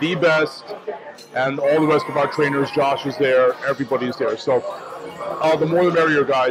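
A man at a fairly quick pace, with noticeable background noise. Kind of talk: casual vlog chat. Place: cafe. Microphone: lapel.

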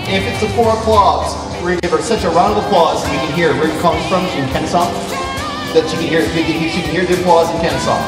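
Over clear background music and audible room echo, the speech runs at a very fast pace. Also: man. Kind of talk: stage performance patter. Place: stage. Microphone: handheld.

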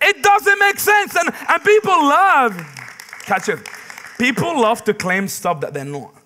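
Over music in the background, a man with an extremely high pitch and a raised, projected voice speaks fairly slowly in an animated tone, his pitch swinging very widely. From Middle East. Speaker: pastor. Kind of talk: sermon. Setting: church. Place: church.

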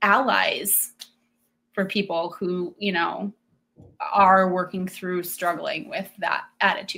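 A woman with an American accent speaks at a very slow pace with a medium pitch. Her tone is bright and sharp, and her intonation is monotone and flat. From small US town. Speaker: homeschooling mother. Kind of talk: panel discussion webinar. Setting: video call webinar.

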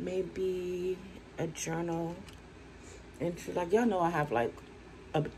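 A woman with a fairly low pitch talks at a fairly slow pace over light background noise. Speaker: vlogger. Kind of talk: casual vlog chat. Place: home room. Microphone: phone near.

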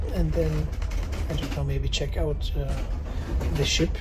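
Noticeable background noise sits behind a man speaking. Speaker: travel vlogger. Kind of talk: casual vlog chat. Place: boat. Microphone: phone near.

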